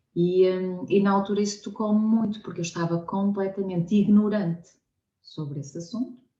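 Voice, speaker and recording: With a European Portuguese accent, a woman speaks at a moderate pace and medium pitch, her somewhat breathy voice dark and mellow in tone with fairly even intonation. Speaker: science communicator, nonprofit co-founder. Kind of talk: conversational interview. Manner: hesitant, many fillers.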